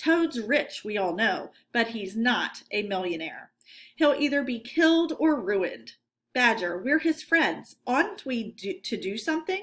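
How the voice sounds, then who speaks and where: Put-on character voice from a high-pitched woman, fairly slow, on a very clean recording with a silent background. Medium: read story.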